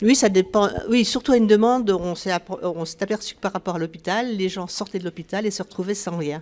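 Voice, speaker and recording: A woman talks at a fairly quick pace. Her pitch sits in the medium range and varies in an ordinary way. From northeastern France (Nancy). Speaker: charity volunteer, local branch head. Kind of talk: interview. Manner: halting.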